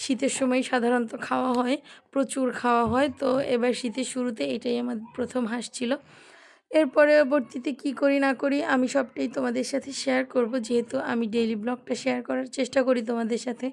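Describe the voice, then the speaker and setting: With fairly even intonation, a woman speaks at a high pitch. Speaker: lifestyle vlogger. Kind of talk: vlog narration. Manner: soft-spoken.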